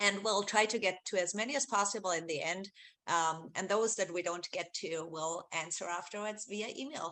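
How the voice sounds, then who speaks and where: A woman's bright, sharp voice in an Austrian accent, medium in pitch with ordinary pitch variation. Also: moderate pace. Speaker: research executive, webinar host. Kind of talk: webinar presentation. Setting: video call webinar. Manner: many fillers, hesitant.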